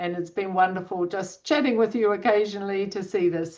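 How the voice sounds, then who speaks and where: Over a quiet background, an unremarkable speaking voice moves at a moderate pace with ordinary pitch variation. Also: woman. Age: 60s. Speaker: coach. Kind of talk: webinar talk.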